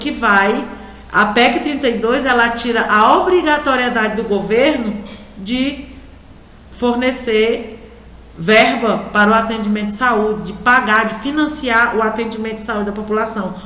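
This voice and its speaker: Her pitch is fairly high with ordinary pitch variation as this woman speaks at a fairly slow pace. There is audible room echo and noticeable background noise. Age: 60s. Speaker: radio host, union representative. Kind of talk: radio talk show commentary. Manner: conversational, direct address to listeners.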